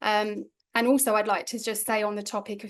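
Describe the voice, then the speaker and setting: The speaker talks at a fairly quick pace with a London accent against a quiet background. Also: woman. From London, England. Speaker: energy healer and life coach, co-author. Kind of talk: online book launch talk.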